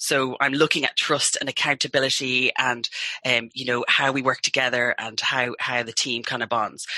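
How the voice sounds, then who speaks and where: A woman speaks with a very deep, low pitch. Noticeable background noise is audible. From England. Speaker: team building business owner. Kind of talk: radio interview.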